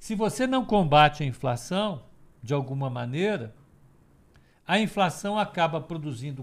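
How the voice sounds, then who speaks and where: On a very clean recording with a silent background, a high-pitched man with a Brazilian accent speaks at a fairly slow pace, his pitch swinging very widely. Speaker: financial market analyst. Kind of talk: live market commentary call. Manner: halting, many repetitions and fillers.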